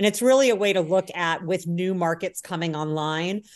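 With an American accent and a plain, everyday voice, a woman with a fairly low pitch talks at a fairly quick pace with ordinary pitch variation against a quiet background. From US Midwest, Indiana. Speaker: cannabis researcher. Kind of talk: podcast interview.

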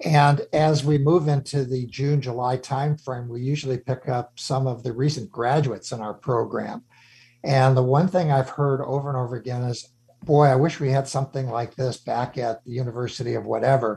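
A man with an American accent speaks at a fairly quick pace and a medium pitch, his intonation fairly even. His voice is somewhat breathy with a dark, mellow tone, over a quiet background. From Chicago. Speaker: radio host, former CEO. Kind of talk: radio interview.

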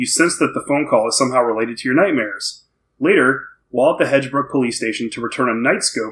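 Behind the voice, the background stays quiet. Pitch varies in an ordinary way during this plain reading aloud.

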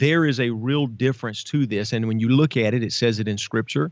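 Speaking in an unremarkable speaking voice with an American accent, a man talks at a fairly quick pace with ordinary pitch variation against a quiet background. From Savannah, Georgia, US South. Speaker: police officer and pastor. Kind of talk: interview storytelling.

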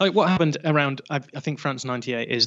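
A man is speaking. He has a northern English accent. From northern England. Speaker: football podcaster. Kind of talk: casual chat.

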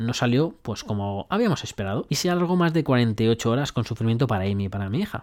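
On a very clean recording with a silent background, the speech moves at a fairly quick pace with lively intonation. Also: man. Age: 30s. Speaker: self-development podcaster. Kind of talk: motivational monologue. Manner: animated.

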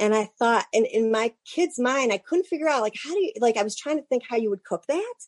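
A woman with an American accent speaks in a plain, everyday voice at a fairly high pitch and fairly quick pace. Her pitch varies in an ordinary way, and the sound is dry and close, with no echo. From Cleveland, Ohio. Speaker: bookstore owner. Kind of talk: interview.

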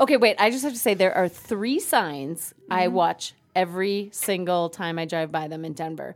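A woman's ordinary speaking voice at a medium pitch and moderate pace, with lively intonation and hardly any pauses. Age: middle-aged. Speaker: podcast co-host. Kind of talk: casual chat.

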